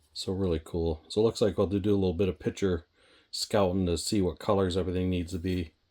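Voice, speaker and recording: A very fast pace on a very clean recording with a silent background. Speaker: scale model hobbyist YouTuber. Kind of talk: casual kit review. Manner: casual, many fillers.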